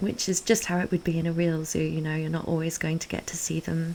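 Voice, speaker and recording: A fairly low-pitched woman's voice over noticeable background noise. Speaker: game content creator. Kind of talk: narrated game walkthrough. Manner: hesitant, many fillers.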